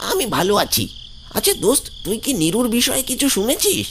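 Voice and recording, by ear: A man uses a cartoonish character voice at an extremely high pitch. Clear background noise can be heard. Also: moderate pace.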